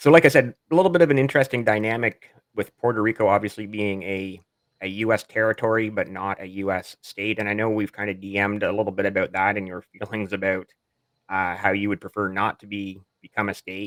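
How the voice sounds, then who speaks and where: With a normal speaking voice, a man at a fairly low pitch with ordinary variation speaks at a fairly quick pace in a dry, close sound with no echo, a very clean recording with a silent background. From Canada. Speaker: podcast host. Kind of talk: podcast interview.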